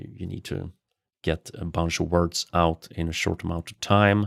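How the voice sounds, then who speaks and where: A man talks at a fairly slow pace in a very deep, low voice. His intonation is monotone and flat. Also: very clean recording, silent background. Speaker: game streamer. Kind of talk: gameplay livestream. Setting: livestream.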